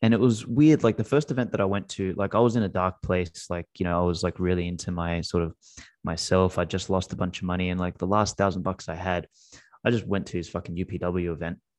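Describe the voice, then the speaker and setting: A man with an Australian accent talks very fast in a very deep, low voice with ordinary pitch variation. The sound is dry and close with no echo, against a quiet background. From Australia (Macedonian-speaking family). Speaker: Bitcoin company CEO and podcaster. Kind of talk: casual interview chat. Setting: remote call. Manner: animated, profane.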